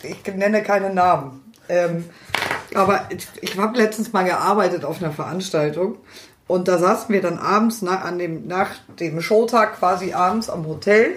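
Over noticeable background noise, a woman talks at a moderate pace at medium pitch with ordinary pitch variation. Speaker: podcast co-host. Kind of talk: casual chat.

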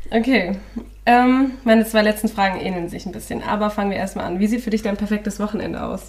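Over noticeable background noise, a woman with a fairly high pitch races along at a very fast pace with fairly even intonation. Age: 20s. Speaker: podcast co-host, student teacher. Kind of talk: casual chat.

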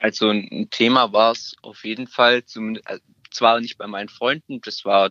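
A man with a bright, sharp tone. The sound is dry and close, with no echo. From Stuttgart, Germany. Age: 20s. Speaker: apprentice. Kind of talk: interview.

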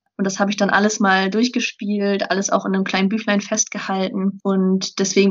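Her pitch is medium. The woman's intonation stays flat and monotone. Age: 20s. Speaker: student and blogger. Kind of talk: interview.

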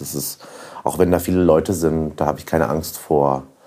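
Fairly even in intonation, a man speaks with a very deep, low pitch. His tone is dark and mellow. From Franconia, near Nuremberg. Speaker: restaurateur. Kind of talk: casual interview.

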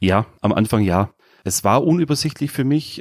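Dry and close with no echo, this very clean recording with a silent background has a man in an ordinary speaking voice at a fairly quick pace with ordinary pitch variation. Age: 30s. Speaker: new party member. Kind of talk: interview.

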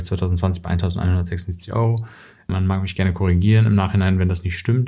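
A man talks in a plain, everyday voice at a fairly low pitch and a moderate pace. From Germany. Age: 30s. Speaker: journalist and author. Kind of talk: interview.

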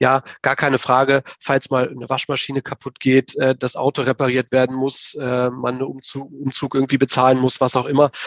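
Barely pausing, a man speaks at a medium pitch in a monotone, flat intonation, with a dry, close sound and no echo. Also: moderate pace. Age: 30s. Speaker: stock investing blogger. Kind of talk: interview.

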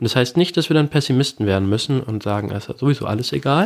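A man talks at a very fast pace with medium pitch and ordinary pitch variation. The sound is dry and close, with no echo. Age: 20s. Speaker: student and blog founder. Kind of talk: interview.

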